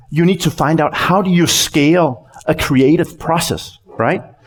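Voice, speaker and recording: Speaking at a very slow pace with a Danish accent, a man with a fairly high pitch is heard over noticeable background noise. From Denmark. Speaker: company CEO, conference speaker. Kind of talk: conference talk. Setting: stage with audience. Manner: halting, many repeated words.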